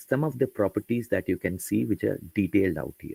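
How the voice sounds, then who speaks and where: A man's dark, mellow voice with vocal fry at a fairly quick pace, in a very clean recording with a silent background and a dry, close sound with no echo. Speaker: software trainer. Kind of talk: tutorial.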